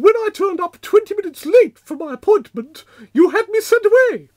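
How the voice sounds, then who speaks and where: In a cartoonish character voice, a woman speaks at an extremely high pitch and a fairly quick pace, with lively intonation and big swings in loudness, the sound dry and close with no echo. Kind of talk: posh refined speech. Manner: prim, genteel, reproachful.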